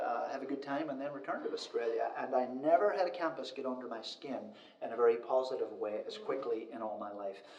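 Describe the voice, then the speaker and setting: A man speaks at a fairly quick pace with a medium pitch and ordinary pitch variation. Noticeable background noise and audible room echo are present. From Northern Ireland. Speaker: university department head. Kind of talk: interview.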